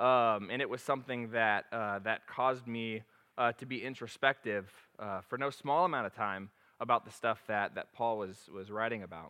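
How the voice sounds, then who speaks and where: A man with a normal speaking voice at medium pitch and moderate pace, with ordinary pitch variation. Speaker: preacher. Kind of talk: sermon. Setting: church. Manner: casual, chatty.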